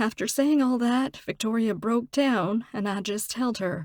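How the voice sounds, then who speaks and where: This woman has an ordinary speaking voice, fairly high in pitch with ordinary pitch variation, at a fairly slow pace. The sound is dry and close, with no echo. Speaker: voice actor, audiobook narrator. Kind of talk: audiobook narration.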